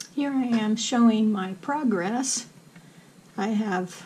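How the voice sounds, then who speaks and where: Over noticeable background noise, a woman speaks very slowly at a fairly high pitch with fairly even intonation. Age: 60s. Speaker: crochet instructor. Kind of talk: tutorial.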